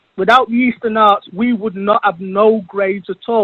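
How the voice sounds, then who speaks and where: Here is a man with an English accent. His pitch is high, with ordinary variation. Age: 60s. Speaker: Muay Thai champion. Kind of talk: interview.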